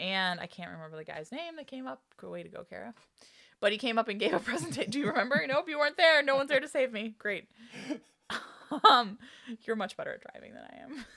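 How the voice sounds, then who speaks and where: A woman's bright, sharp voice with vocal fry, very fast pace, long and frequent pauses, big swings in loudness and very wide pitch swings. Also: fairly high pitch for a woman. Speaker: village trustee and podcast co-host. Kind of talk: casual chat. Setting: home recording.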